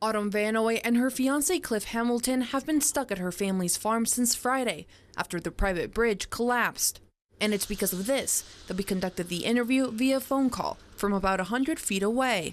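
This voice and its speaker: A woman's voice with an American accent, fairly quick in pace and with ordinary pitch variation. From Maryland, USA. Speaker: TV news reporter. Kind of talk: news package narration.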